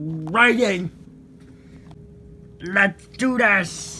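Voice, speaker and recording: Here is a cartoonish character voice. It sits at a middle pitch. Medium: puppet. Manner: excitable, panicky.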